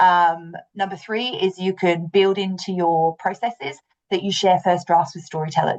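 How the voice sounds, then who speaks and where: This woman talks at a medium pitch with fairly even intonation. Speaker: communications manager presenting a webinar. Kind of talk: webinar presentation. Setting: online webinar. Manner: fast.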